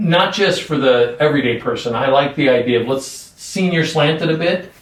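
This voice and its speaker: This man has an unremarkable speaking voice with a fairly high pitch. He keeps a moderate pace and ordinary pitch variation. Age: 60s. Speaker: podcast host. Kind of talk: interview.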